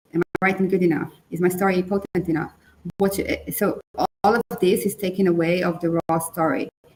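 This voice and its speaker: A woman with a non-native accent talks at medium pitch and a moderate pace. Her pitch varies in an ordinary way, in a dry, close sound with no echo. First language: not English. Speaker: book coach. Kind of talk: webinar conversation.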